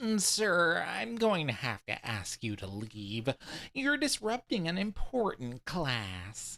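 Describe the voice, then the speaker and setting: A man does a put-on character voice, fairly high in pitch with very wide pitch swings. He talks at a fairly slow pace in a very clean recording with a silent background. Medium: read story. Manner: dry, sarcastic, bureaucratic.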